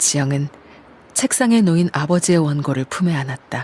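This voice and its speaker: Soft-spoken and calm, a woman talks at a fairly slow pace in a very deep, low pitch with ordinary pitch variation. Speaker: voice actor. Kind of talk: audiobook-style literary narration. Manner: calm, soft-spoken.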